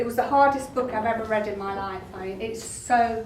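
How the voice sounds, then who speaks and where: A fairly high-pitched woman at a fairly slow pace, amid noticeable background noise and audible room echo. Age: 60s. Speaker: talk therapist and author. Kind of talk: speech to an audience at a book launch. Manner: animated.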